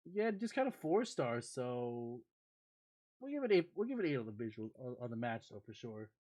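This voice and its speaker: A man mumbling at a moderate pace. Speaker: streamer. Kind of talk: live stream commentary. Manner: animated.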